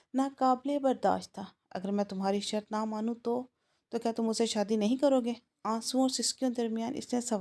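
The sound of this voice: Against a quiet background comes an unforced reading voice.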